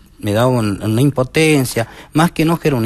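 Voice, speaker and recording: Moderate pace against a quiet background, with dry sound and no echo. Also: man. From Argentina, Jujuy province. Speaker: teacher and social communicator, blind; interview guest, teacher. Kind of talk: TV interview testimony; interview answer. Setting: TV studio. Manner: halting. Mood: earnest, pained recollection. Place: studio. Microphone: headset.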